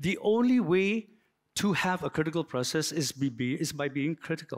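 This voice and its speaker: A man's fairly high pitch and lively intonation at a moderate pace, on a very clean recording with a silent background. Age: 60s. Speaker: architect. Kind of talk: lecture. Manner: halting.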